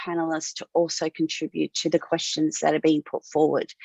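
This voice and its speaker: The sound is dry and close with no echo as a woman speaks with an Australian accent. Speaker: webinar host, tech company CEO. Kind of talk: webinar moderation.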